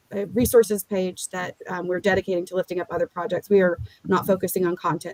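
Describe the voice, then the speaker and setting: At a very fast pace, a woman speaks at a fairly low pitch with fairly even intonation, in a dry, close sound with no echo. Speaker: legal tech founder. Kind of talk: podcast interview.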